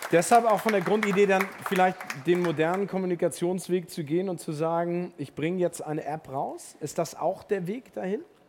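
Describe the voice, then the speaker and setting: Speech at a moderate pace comes with noticeable background noise underneath. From Hamburg. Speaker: event moderator. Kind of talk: live stage interview. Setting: stage with audience.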